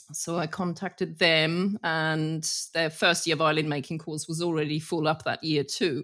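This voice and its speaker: A woman's very deep, low voice with a British accent, at a moderate pace with hardly any pauses, monotone, flat intonation and a very clean recording with a silent background. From Germany. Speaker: master retoucher of violins. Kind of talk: casual interview.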